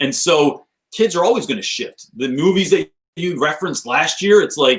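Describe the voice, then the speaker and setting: Lively intonation with an American accent. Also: man, high pitch for a man. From New Jersey. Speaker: teacher and author. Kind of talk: casual chat. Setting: video call from laundry room. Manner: fast; animated.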